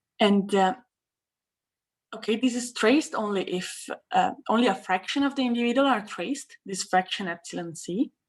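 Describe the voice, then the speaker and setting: A woman's fairly high voice at a moderate pace, with ordinary pitch variation, a plain, everyday voice on a very clean recording with a silent background. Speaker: mathematics researcher. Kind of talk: lecture.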